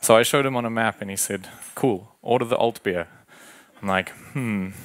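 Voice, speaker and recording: A man with a South African accent has a medium pitch and ordinary pitch variation. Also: fairly quick pace. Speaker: agile coach. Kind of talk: conference talk. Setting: stage with audience. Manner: casual, animated.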